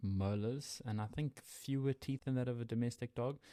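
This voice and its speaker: A medium-pitched man with a South African accent, dark and mellow in tone, with ordinary pitch variation, on a very clean recording with a silent background. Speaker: wildlife podcast co-host. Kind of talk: casual educational podcast chat. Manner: conversational, hesitant with fillers.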